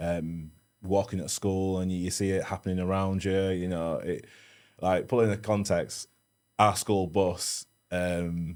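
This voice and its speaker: A man speaks slowly-ish with a Leeds accent, his pitch very deep and low. His intonation stays monotone and flat in a very clean recording with a silent background. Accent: Yorkshire (Leeds). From northern England, Leeds (Meanwood). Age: 30s. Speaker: security professional / bodyguard. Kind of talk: casual chat. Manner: mumbling.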